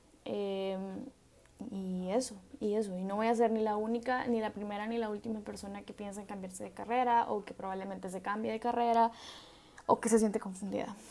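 At a medium pitch and a fairly quick pace, a woman talks in a monotone, flat intonation with big swings in loudness over noticeable background noise. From El Salvador. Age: 20s. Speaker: podcast host, medical student. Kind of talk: solo reflective monologue. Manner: casual, hesitant with fillers.

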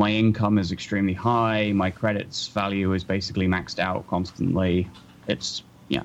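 A man with a southern English accent speaks at a fairly low pitch and moderate pace. His loudness stays very even, and his intonation fairly even. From southern England. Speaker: podcast co-host. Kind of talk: casual chat.

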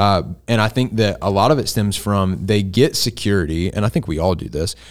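A man with a normal speaking voice, fairly low in pitch, at a moderate pace with ordinary pitch variation. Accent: American. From US South. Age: 20s. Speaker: college pastor. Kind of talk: casual chat.

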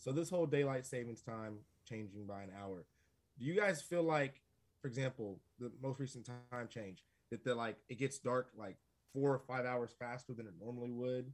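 Speaking in a plain, everyday voice at a moderate pace, a man at medium pitch shows ordinary pitch variation and big swings in loudness. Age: 40s. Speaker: podcast guest. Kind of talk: casual chat.

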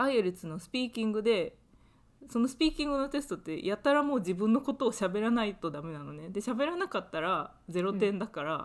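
At a fairly quick pace, a woman talks with very wide pitch swings and big swings in loudness on a very clean recording with a silent background. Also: fairly high pitch for a woman. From Japan. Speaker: podcast co-host, university student. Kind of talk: casual chat.

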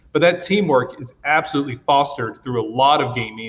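Racing at a very fast pace, a man with an American accent speaks at a fairly high pitch with ordinary pitch variation. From US South, Georgia. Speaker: esports educator. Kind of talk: panel discussion.

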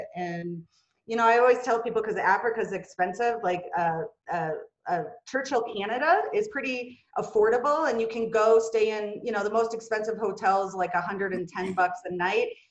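At a moderate pace, a woman with a Minnesotan accent speaks at a fairly high pitch with ordinary pitch variation. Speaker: executive. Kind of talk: casual interview. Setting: video call.

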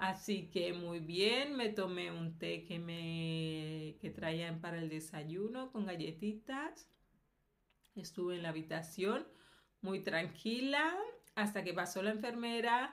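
A woman's fairly low voice at a very slow pace, with lively intonation. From Colombia. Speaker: video blogger. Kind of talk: personal testimony. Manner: hesitant, with fillers.

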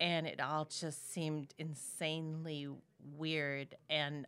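In an Upper Midwest accent, a woman speaks at a very deep, low pitch in a bright, sharp tone. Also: very clean recording, silent background. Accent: Upper Midwest (Minnesota). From Minnesota. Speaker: podcast guest, host's aunt. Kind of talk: casual chat.

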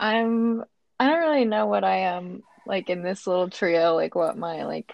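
A woman's medium-pitched voice with a slight Southern US accent, vocal fry, ordinary pitch variation and a fairly slow pace. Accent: American, slightly Southern.

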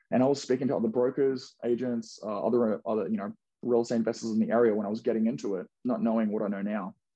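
Spoken with an Australian accent at a very fast pace. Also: man, medium pitch for a man, fairly even intonation. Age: 20s. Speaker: real estate investor. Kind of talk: casual interview.

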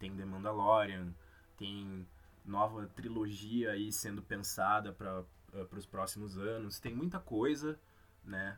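A man talks at a very slow pace. His intonation is fairly even. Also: fairly low pitch for a man. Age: 20s. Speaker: podcast host, journalist. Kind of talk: solo podcast monologue.

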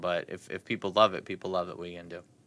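Bright and sharp in tone, a man speaks at a fairly quick pace with an American accent and fairly even intonation. The recording is very clean, with a silent background. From New Jersey. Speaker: podcast host. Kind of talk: casual chat.

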